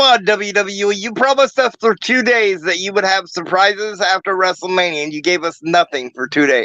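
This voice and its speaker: A man speaks in a raised, projected voice with lively intonation. The sound is dry and close, with no echo. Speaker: wrestling podcast host. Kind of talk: casual chat.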